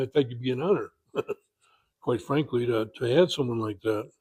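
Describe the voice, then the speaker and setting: A man speaks at a fairly quick pace and medium pitch. His tone is dark, mellow and somewhat breathy. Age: 80s+. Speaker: car owner and enthusiast. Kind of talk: interview. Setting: convention. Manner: halting.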